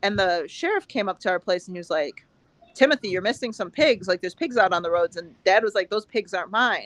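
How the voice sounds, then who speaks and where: A woman with an American accent, an unremarkable speaking voice, ordinary pitch variation, a quiet background and dry, close sound with no echo. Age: 20s. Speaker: dairy farmer. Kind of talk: casual chat.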